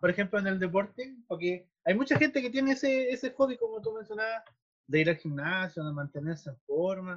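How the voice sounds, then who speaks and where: This man's voice is high-pitched, with lively intonation. He talks at a fairly quick pace. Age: 30s. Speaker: filmmaker. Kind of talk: casual interview chat. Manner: hesitant, many fillers.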